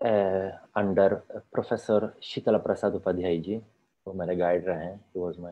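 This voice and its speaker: With a Polish accent and a fairly low pitch, a man speaks at a very slow pace against a quiet background. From Poland. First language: Polish (speaking Hindi). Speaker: Sanskrit scholar; guest. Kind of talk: interview. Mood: calm, reflective, earnest. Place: home room. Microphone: video call.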